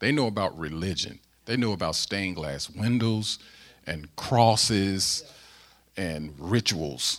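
With an American accent, a man speaks at a very slow pace with a fairly low pitch and lively intonation. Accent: Southern-tinged Midwestern US. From US Midwest (St. Louis, Missouri). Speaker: pastor. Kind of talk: sermon. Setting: church.

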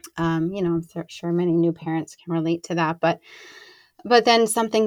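Ordinary pitch variation in a woman's voice pitched fairly low. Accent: American. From New Jersey, US. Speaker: conscious parenting coach. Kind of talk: casual interview chat.

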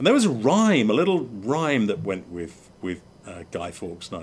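The speaker talks at a fairly quick pace with an English accent. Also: man. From England. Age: 50s. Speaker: podcast host and former motorsport mechanic. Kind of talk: casual chat. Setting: outdoors.

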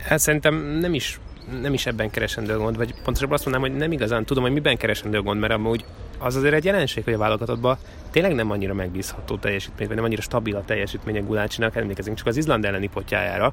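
A man at a medium pitch and a very fast pace, ordinary pitch variation, noticeable background noise. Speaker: sports reporter and commentator. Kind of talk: casual chat. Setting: outdoors.

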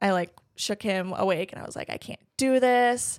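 A woman with an American accent speaks at a medium pitch in a very clean recording with a silent background. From southeastern Wisconsin. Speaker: bridal shop owner. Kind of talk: interview.

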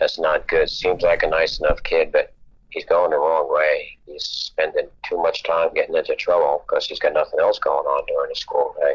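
A man with an extremely high pitch and monotone, flat intonation at a moderate pace. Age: 70s. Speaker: blind triathlete and retired math teacher. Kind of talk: casual interview chat. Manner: relaxed, chatty, humorous.

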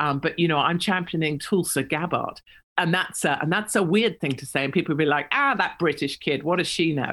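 Someone with an English accent speaks at a fairly quick pace. The recording is very clean, with a silent background. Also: woman, fairly low pitch for a woman, ordinary pitch variation. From England. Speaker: political commentator. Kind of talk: interview.

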